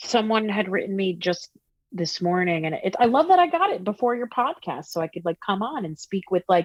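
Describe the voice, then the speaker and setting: The sound is dry and close, with no echo. A woman with a New Jersey accent speaks at a moderate pace. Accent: New Jersey American. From New Jersey, US. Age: 40s. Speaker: singer-songwriter. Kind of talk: casual interview chat. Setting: video call.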